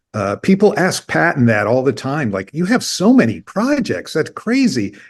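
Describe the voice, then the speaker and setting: A man with an American accent and a fairly high pitch talks at a moderate pace, his voice showing vocal fry and very wide pitch swings, against a quiet background. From Indiana, US Midwest. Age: 50s. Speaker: record label founder. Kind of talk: interview conversation.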